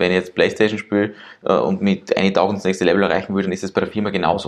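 A man talks in a fairly low pitch with a monotone, flat intonation. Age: 20s. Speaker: entrepreneur. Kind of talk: interview. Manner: halting, many fillers.

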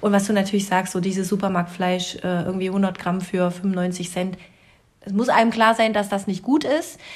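Somewhat breathy, the voice moves at a moderate pace. Its intonation stays fairly even. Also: woman, medium pitch for a woman. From rural Germany. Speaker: podcast co-host. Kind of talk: casual chat.

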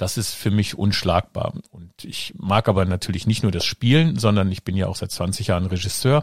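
A man with a fairly low, somewhat breathy voice talks at a moderate pace with ordinary pitch variation and hardly any pauses. The sound is dry and close, with no echo. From Germany, Rhineland (Kreis Neuss). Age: 50s. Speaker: podcast host, actor and director. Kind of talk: casual chat.

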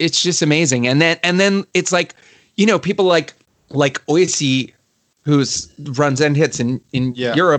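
Recorded with a dry, close sound with no echo, a man with a Baltimore accent talks at a moderate pace in a fairly high pitch, with very even loudness and ordinary pitch variation. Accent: American, Baltimore area. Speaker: musician and producer. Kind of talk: interview chat. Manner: casual, filler-heavy.

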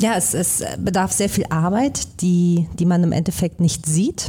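Somewhat breathy, a woman speaks at medium pitch and a very slow pace. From Hamburg, northern Germany. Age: 30s. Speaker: actress and musical performer. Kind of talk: live podcast conversation. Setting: stage with live audience.

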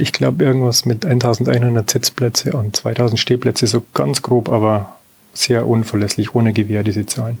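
A man's medium-pitched, ordinary speaking voice at a moderate pace, with ordinary pitch variation. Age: 50s. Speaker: amateur tennis player. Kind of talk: casual interview.

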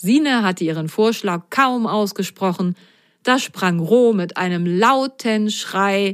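An unforced reading voice moves through an ordinary range of pitch.

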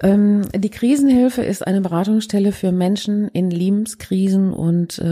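Noticeable background noise fills the clip. Through it a woman is speaking. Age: 50s. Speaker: crisis counselling centre head. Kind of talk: interview.

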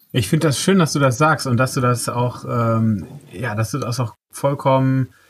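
A man with a medium-pitched, somewhat breathy voice is heard on a very clean recording against a silent background. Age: 40s. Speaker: podcast host. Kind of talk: casual interview.

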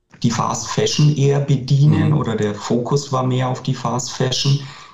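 This man's tone is dark and mellow. A somewhat breathy quality runs through it. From Franconia, Bavaria (near Nuremberg). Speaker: clothing manufacturer, company director. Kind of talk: interview.

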